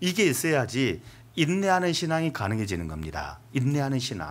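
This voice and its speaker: This man's fairly high pitch swings very widely, with vocal fry and a moderate pace. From Seoul, South Korea. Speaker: pastor. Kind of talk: sermon.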